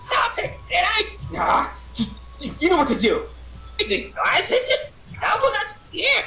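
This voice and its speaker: A put-on character voice at an extremely high pitch, fairly slow, with long, frequent pauses over clear background noise. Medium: actual play.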